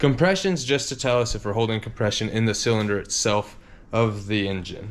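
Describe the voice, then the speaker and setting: In a room with audible echo, a man of medium pitch speaks at a fairly quick pace with ordinary pitch variation. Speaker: car mechanic and video host. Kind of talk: workshop vlog tutorial. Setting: home garage. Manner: casual, filler-heavy.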